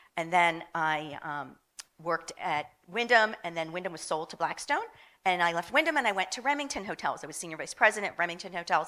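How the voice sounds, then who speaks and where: A woman's fairly low voice in a Philadelphia accent, bright and sharp in tone, with lively intonation, a fairly quick pace and big swings in loudness. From Philadelphia, US. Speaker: hotel marketing executive. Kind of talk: panel discussion.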